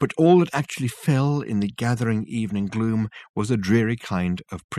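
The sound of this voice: The clip features an unforced reading voice. Its pitch variation is ordinary.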